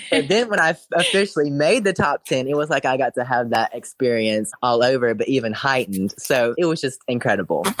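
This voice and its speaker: A man's medium-pitched voice with a Southern US accent, fairly quick, in a dry, close sound with no echo. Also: lively intonation. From Alabama, near Birmingham. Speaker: drag queen. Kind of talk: casual interview.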